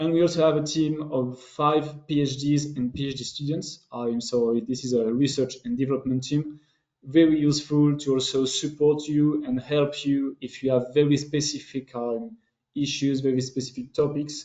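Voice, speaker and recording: With a French accent, a man talks at a moderate pace in a fairly high pitch and fairly even intonation. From France. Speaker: business development manager. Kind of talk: webinar presentation. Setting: online webinar. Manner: halting, many fillers.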